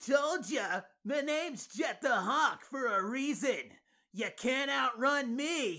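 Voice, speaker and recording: A man's put-on character voice at an extremely high pitch and a fairly slow pace, in a very clean recording with a silent background. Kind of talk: character voice challenge. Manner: boastful.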